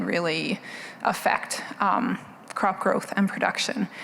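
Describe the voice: A soft-spoken woman talks at a slow pace.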